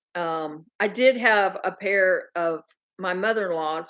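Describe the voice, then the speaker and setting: A woman with a strong Southern US accent, medium-pitched, with ordinary pitch variation. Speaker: farm channel host. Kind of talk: casual livestream chat. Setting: livestream, sitting close to computer. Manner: loud at times.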